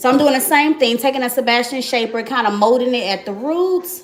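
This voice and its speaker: There is noticeable background noise as a woman talks at a fairly quick pace in a fairly high pitch. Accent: American. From Miami, Florida. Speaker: beauty vlogger. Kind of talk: live tutorial. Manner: casual, chatty.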